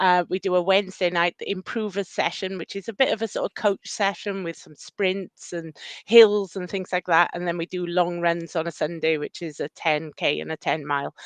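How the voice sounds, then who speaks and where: A woman with a Welsh accent, fairly low in pitch, at a moderate pace with fairly even intonation and hardly any pauses, in a dry, close sound with no echo. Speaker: running club run leader. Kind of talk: casual chat.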